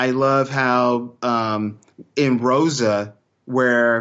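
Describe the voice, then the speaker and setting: With a Texan accent, a man speaks at medium pitch with fairly even intonation. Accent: Texan American English. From Texas. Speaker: podcaster. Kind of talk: casual chat.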